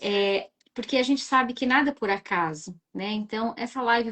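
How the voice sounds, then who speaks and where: A woman speaks with a fairly high pitch and a somewhat breathy quality. Her pitch varies in an ordinary way. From southern Brazil, Rio Grande do Sul. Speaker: live-stream host. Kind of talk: live-stream interview.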